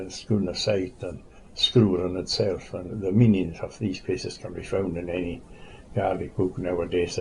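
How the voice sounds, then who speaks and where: A man speaks at a moderate pace in a very deep, low voice with a Scottish Highland accent, his intonation monotone and flat. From Glen Shiel, Scottish Highlands. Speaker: sheep farmer. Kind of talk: oral history interview answer. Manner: relaxed, conversational.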